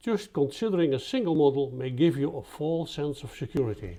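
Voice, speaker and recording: Over a very clean recording with a silent background, a man with a Dutch accent speaks at a moderate pace in a dark, mellow, somewhat breathy voice with lively intonation. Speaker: statistician presenting research. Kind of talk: scripted presentation.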